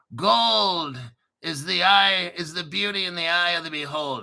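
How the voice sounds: A raspy put-on character voice from a man, fairly high in pitch, at a moderate pace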